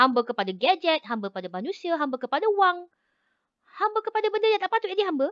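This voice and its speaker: A woman speaks at an extremely high pitch and a very fast pace. Her pitch swings very widely over a quiet background. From Malaysia. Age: 40s. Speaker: lecturer. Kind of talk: lecture. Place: home room. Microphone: video call.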